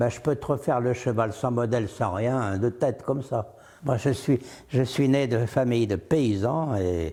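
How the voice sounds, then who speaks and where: In a very clean recording with a silent background, a man with a dark, mellow tone speaks at a fairly slow pace. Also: medium pitch for a man, ordinary pitch variation. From France, Loire region (Roanne area). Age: 80s+. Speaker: painter. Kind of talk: interview. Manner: animated; casual, conversational.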